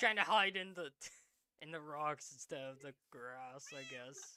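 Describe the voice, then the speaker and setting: A man talks at a fairly slow pace and fairly high pitch, with ordinary pitch variation and big swings in loudness. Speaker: gamer streamer. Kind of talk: casual chat. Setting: live stream with co-player. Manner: quiet.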